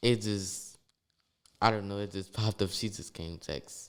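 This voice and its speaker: With a New Orleans accent, a man speaks in a monotone with flat intonation. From New Orleans, Louisiana. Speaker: second line dancer. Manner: loud.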